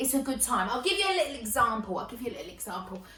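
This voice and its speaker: A woman uses a raised, projected voice with an animated tone and a high pitch. There is audible room echo and noticeable background noise. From Essex, England. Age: 20s. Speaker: comedian and performer. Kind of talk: stand-up.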